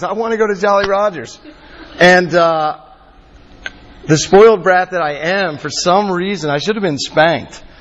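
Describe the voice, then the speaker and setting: Noticeable noise sits behind this recording. A man with an American accent speaks at a high pitch. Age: 40s. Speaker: campus minister. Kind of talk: sermon.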